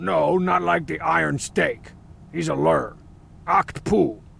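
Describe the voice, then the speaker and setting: In a raspy, put-on character voice, a man speaks at a fairly slow pace over clear background noise. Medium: video game. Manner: sarcastic, cocky.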